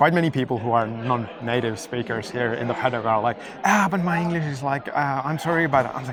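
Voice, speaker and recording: In a Finnish accent, a man talks very fast at medium pitch with ordinary pitch variation and hardly any pauses, amid audible room echo and noticeable background noise. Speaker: drifting YouTuber interviewer. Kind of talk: casual interview. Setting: race paddock. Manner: halting, many fillers.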